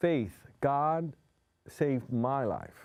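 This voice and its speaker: At a very slow pace, a man with a Spanish accent speaks in a fairly high pitch for a man. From New York City. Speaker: hypnotherapist. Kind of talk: interview. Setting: studio.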